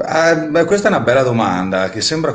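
The intonation is lively, with audible room echo around the voice. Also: man. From Trentino, northern Italy. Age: 30s. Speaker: singer-songwriter. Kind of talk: interview. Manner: hesitant, many fillers and repetitions.

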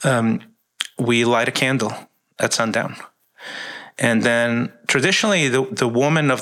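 A man's normal speaking voice, medium in pitch, at a moderate pace. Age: 50s. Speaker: ministry worker. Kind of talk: casual chat.

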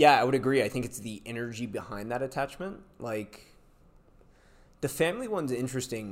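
A man with an American accent, medium in pitch, at a fairly quick pace with ordinary pitch variation. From US, California Bay Area. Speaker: podcast host, entrepreneur. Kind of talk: casual chat.

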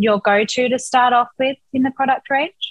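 In an Australian accent, a woman talks at a moderate pace with fairly even intonation. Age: 20s. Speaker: podcast host. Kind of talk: interview.

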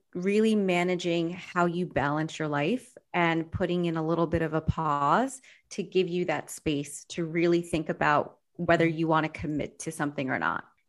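A woman with an unremarkable speaking voice and fairly low pitch talks at a moderate pace. The background is quiet. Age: 40s. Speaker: life coach. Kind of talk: casual chat.

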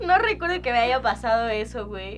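Amid noticeable background noise and audible room echo, a woman speaks at a moderate pace with a Mexican accent. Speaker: podcast co-host. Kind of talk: casual chat.

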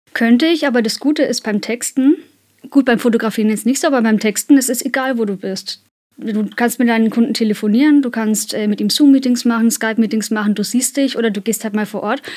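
A woman talks at a very fast pace. Her fairly high pitch shifts in an ordinary way. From Kulmbach, Upper Franconia, Germany. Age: 30s. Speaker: freelance copywriter. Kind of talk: casual interview chat. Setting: recording studio.

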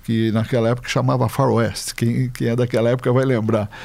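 A man's dark, mellow tone at a moderate pace. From Brazil, São Paulo. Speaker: lawyer. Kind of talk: interview, life story.

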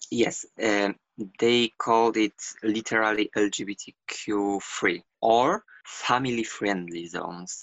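Speaking at a very slow pace, a man with a Polish accent uses a fairly low pitch and fairly even intonation. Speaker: LGBTQ activist. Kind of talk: interview. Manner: halting.

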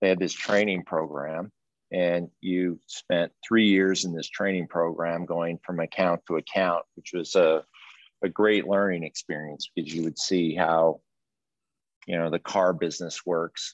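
A man with an American accent, a very deep, low pitch, monotone, flat intonation, and a fairly slow pace against a quiet background. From Colorado. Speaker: retired film studio executive. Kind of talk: interview. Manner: halting.

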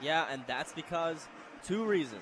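A man talks fairly slowly in a normal speaking voice, his fairly high pitch showing ordinary pitch variation. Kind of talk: live commentary, color analysis. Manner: analytical, conversational, occasionally stumbling.

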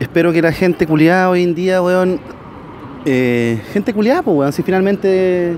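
Noticeable background noise sits behind a man with a Chilean accent. His pitch is high and his pace fairly slow. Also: ordinary pitch variation. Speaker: protester. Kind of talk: casual chat.

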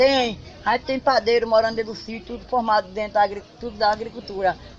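A woman talks at a moderate pace with a fairly high pitch and fairly even intonation. Noticeable background noise runs behind her. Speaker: farmer. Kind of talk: interview.

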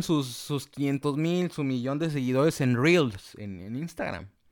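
With a Mexican accent, a man talks at a very slow pace in a fairly high pitch, his intonation lively. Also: hardly any pauses. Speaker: podcast host, communication student. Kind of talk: casual chat. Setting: remote call with guest.

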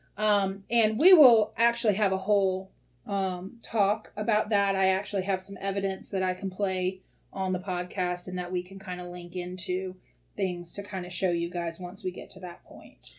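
In a Mississippi accent, a woman speaks at a medium pitch with fairly even intonation. Her loudness swings widely. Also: moderate pace. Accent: Southern US (Mississippi). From US Deep South. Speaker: podcast host, tea leaf reader and shop owner. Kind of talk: casual chat. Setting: shop. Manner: hesitant, frequent ums.

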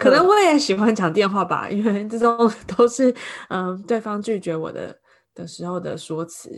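Lively intonation marks this woman's medium-pitched voice in a Taiwanese accent. She keeps a moderate pace. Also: big swings in loudness. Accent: Taiwanese Mandarin. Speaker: podcast co-host, Chinese-speaking nanny. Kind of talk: casual chat.

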